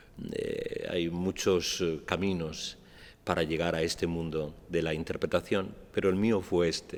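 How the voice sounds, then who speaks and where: A man with a very deep, low pitch talks at a fairly slow pace in a monotone, flat intonation. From Andalusia, Almería. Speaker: actor and playwright. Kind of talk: public talk. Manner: hesitant, many fillers.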